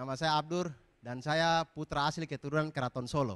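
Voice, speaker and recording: A man speaks with an eastern Indonesian accent and an animated tone. The sound is dry and close, with no echo. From eastern Indonesia, East Nusa Tenggara. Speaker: comedian. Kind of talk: stand-up. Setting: stage with audience.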